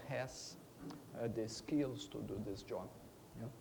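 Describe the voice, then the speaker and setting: Ordinary pitch variation with a Portuguese accent and audible room echo. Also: man. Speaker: veterinary professor. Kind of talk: conference talk. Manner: halting, many fillers; deliberately slow.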